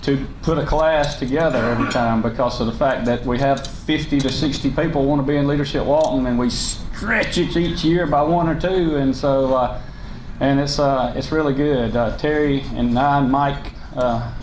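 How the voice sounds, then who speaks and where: Noticeable background noise and audible room echo surround a man whose intonation stays fairly even. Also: fairly high pitch for a man, moderate pace. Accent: Southern US. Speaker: county commission chairman. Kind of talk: public speech. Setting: luncheon hall with audience. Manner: loud; unscripted, halting with fillers.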